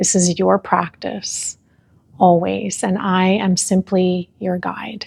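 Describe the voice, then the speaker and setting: A woman speaks very slowly at a medium pitch, in a calm, somewhat breathy tone. Her intonation is monotone and flat, and the sound is dry and close with no echo. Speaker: yoga and breathwork instructor. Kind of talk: guided breathwork class. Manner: slow, calm guiding.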